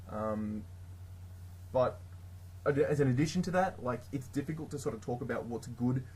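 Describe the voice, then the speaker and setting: A man with an Australian accent talks at a moderate pace and medium pitch, somewhat breathy, with long, frequent pauses. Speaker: tabletop gaming YouTuber. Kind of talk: casual tutorial. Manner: hesitant, many fillers.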